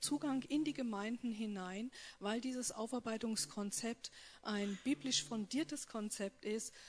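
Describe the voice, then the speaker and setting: Her voice sits fairly high and rises and falls in an ordinary way. The woman talks at a very slow pace. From North Rhine-Westphalia. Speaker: post-abortion support worker. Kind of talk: personal testimony and talk.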